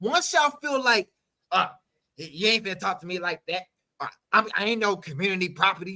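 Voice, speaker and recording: A high-pitched man's raised, projected voice, bright and sharp, with lively intonation and a fairly quick pace broken by long, frequent pauses. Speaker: talk show host. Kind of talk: casual panel debate. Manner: fast; loud.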